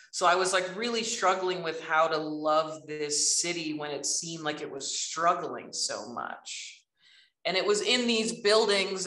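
Speaking at a fairly slow pace, a woman with a fairly low pitch and ordinary pitch variation has a bright, sharp tone, and room echo can be heard. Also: quiet background. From Alberta, Canada. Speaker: artist and professor; professor. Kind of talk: casual talk. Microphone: video call.

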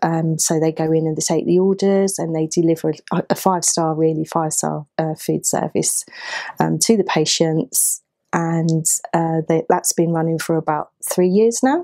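With an unremarkable speaking voice, a woman talks at a fairly low pitch and a moderate pace, with fairly even intonation against a quiet background. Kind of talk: interview answer. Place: office.

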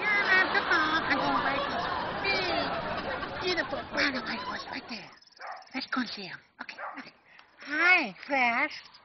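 This cartoonish character voice is high-pitched and upbeat, delivered at a moderate pace. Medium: puppet. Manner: upbeat, excitable.

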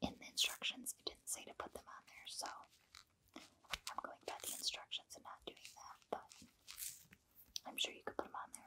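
A whispering woman at a moderate pace, with big swings in loudness and long, frequent pauses. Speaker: ASMR creator. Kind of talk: casual product review to camera. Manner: whispered.

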